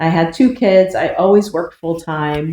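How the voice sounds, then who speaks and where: The voice has an American accent. It moves at a moderate pace. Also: woman. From United States. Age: 50s. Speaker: vlogger. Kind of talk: casual vlog introduction.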